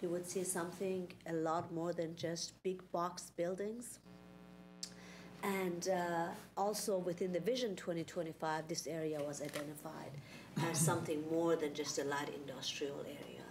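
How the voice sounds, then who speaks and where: A woman's fairly low voice at a fairly slow pace, with fairly even intonation and noticeable background noise. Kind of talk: meeting presentation. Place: meeting room.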